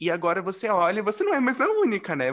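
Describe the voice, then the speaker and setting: The tone is animated. The pace runs fairly quick. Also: man. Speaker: podcast host. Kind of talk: casual chat.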